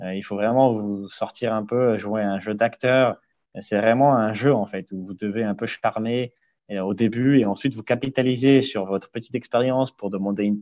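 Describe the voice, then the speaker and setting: A man at medium pitch with a dark, mellow tone, fairly even intonation and a moderate pace, in a dry, close sound with no echo over a quiet background. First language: not French (speaking French). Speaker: investment banking analyst. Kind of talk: webinar interview Q&A.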